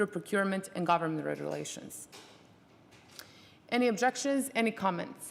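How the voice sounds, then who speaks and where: A woman's medium-pitched voice at a fairly quick pace, with ordinary pitch variation. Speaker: conference rapporteur lead. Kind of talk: reading out conference messages. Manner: fast.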